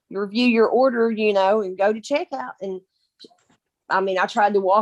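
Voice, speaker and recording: A woman with a Kentucky accent, in a dry, close recording with no echo. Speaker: direct sales team member. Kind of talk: casual chat. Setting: video call.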